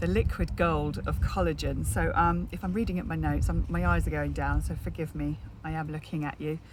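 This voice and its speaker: A woman with a British accent talks at a fairly quick pace. She leaves hardly any pauses. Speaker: network marketer. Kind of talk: casual vlog. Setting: outdoors in garden. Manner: whispering, quiet.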